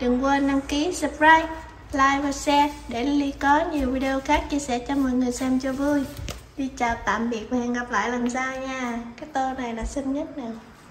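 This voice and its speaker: In a room with audible echo and light background noise, a woman with a high pitch speaks at a moderate pace with fairly even intonation. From Vietnam. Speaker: vlogger; channel host filming. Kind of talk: casual chat. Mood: cheerful, light. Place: home room. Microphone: phone near.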